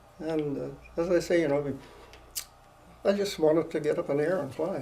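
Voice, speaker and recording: Audible room echo surrounds a man speaking in a Canadian accent with fairly even intonation. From Ontario, Canada. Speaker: war veteran. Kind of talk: oral history interview. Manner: halting.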